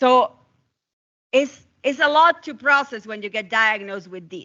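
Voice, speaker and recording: A woman with a non-native accent speaks at a fairly high pitch with ordinary pitch variation. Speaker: physician. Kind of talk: lecture. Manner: fast.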